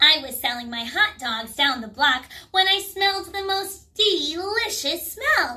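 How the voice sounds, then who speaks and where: A woman uses a put-on character voice at an extremely high pitch. She speaks at a fairly slow pace. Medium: read story.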